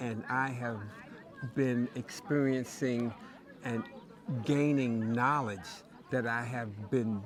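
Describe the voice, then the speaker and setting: With crowd noise in the background, a man with an American accent speaks very slowly at a medium pitch, leaving long, frequent pauses and using ordinary pitch variation. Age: 70s. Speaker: traveler interviewee. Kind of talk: interview answer.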